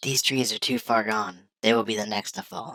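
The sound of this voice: A raspy, low-pitched cartoonish character voice at a moderate pace.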